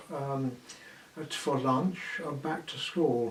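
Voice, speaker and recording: Amid noticeable background noise and audible room echo, a man with a southern English accent speaks at a fairly slow pace in a fairly high pitch with ordinary pitch variation. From southeast England, Kent. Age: 80s+. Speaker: war evacuee recalling wartime. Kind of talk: oral history interview. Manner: halting, with many fillers.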